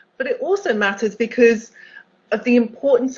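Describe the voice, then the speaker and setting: A woman speaks with a British accent at a moderate pace. Her voice is fairly high and somewhat breathy. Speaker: accessibility executive, keynote speaker. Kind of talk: conference keynote talk.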